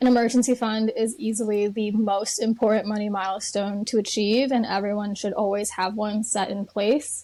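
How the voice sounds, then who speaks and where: A woman's fairly high, monotone, flat voice with a Chicago accent, at a moderate pace with hardly any pauses, over music in the background. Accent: Chicago American English. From Chicago, US Midwest. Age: 20s. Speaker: financial educator and content creator. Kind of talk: podcast interview.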